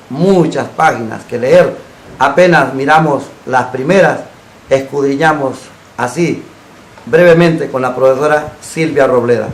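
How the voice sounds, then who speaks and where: This man speaks at a fairly slow pace with a fairly high pitch, fairly even intonation and long, frequent pauses. The room echo is audible and background noise is noticeable. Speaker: TV talk show host. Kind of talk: program closing announcement; TV interview. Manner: formal.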